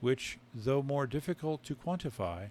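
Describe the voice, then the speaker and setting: Ordinary pitch variation marks a plain, everyday voice. It moves at a moderate pace. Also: man. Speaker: author. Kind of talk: sleep story reading of technical text.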